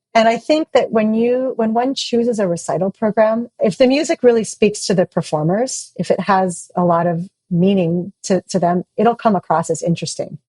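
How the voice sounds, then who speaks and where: Dark and mellow, the voice is somewhat breathy with lively intonation. It runs with hardly any pauses, dry and close with no echo. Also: woman, medium pitch for a woman, moderate pace. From Hawaii. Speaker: opera singer and university administrator. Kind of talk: interview.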